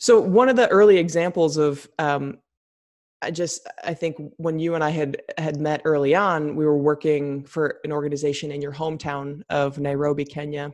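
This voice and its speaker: At a moderate pace, a woman speaks in a very deep, low pitch with fairly even intonation. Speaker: podcast host. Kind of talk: interview, conversational.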